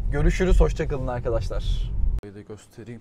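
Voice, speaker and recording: A man speaks at a fairly quick pace in a dark, mellow tone. Light background noise is present. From Turkey. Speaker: travel vlogger. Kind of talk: casual vlog narration.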